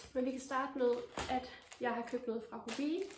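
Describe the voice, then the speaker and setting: Amid noticeable background noise and audible room echo, a woman with a high pitch speaks at a very slow pace with fairly even intonation. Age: 20s. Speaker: knitting podcaster. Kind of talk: casual vlog talk. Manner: hesitant, many fillers.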